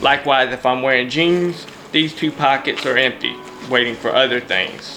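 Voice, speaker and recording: Music plays in the background as a man talks at a moderate pace. His pitch is medium and his intonation fairly even. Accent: Louisiana. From Louisiana. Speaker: YouTuber reviewing gear. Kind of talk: casual show-and-tell.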